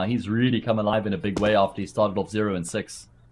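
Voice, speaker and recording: A man with a fairly low pitch and an unremarkable speaking voice. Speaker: esports commentator. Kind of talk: live esports commentary. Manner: brisk play-by-play.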